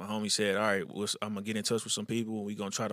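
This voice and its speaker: A man with a Houston accent has a fairly low pitch and a bright, sharp tone. The recording is very clean and dry, close with no echo, over a silent background. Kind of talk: casual interview.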